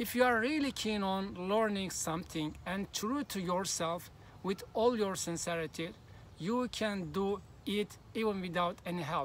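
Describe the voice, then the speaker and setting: Here is a man with a Turkish accent. His high-pitched voice shows ordinary pitch variation. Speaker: language learning youtuber. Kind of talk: vlog monologue.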